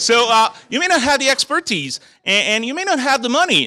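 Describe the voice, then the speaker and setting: Dry and close with no echo, a man with a French-Canadian accent talks at a fairly quick pace in an animated, bright, sharp tone. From Quebec, Montreal. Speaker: technical evangelist, conference speaker. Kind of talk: conference talk. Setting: stage with audience.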